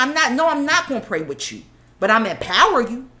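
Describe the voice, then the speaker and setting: A high-pitched woman in an animated tone, very wide pitch swings, and noticeable background noise. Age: 40s. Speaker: podcast guest. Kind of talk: casual chat.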